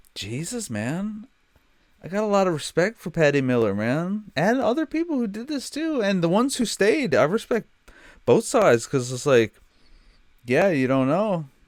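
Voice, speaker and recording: A man talks in a high pitch at a moderate pace. His voice moves in very wide pitch swings. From Newfoundland. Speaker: streamer reacting to a TV show. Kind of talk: casual reaction commentary. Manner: animated.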